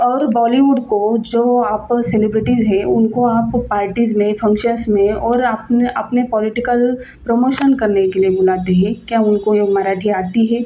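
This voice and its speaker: With a Marathi accent, a woman speaks at a fairly high pitch, her loudness very even and with hardly any pauses. Noticeable background noise is present. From Maharashtra, India. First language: Marathi (speaking Hindi). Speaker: video blogger. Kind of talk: opinion monologue. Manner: halting, with fillers and restarts.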